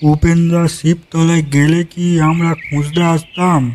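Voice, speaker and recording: Putting on a cartoonish character voice, a man speaks high in pitch at a fairly slow pace with monotone, flat intonation. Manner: rustic, loud calling.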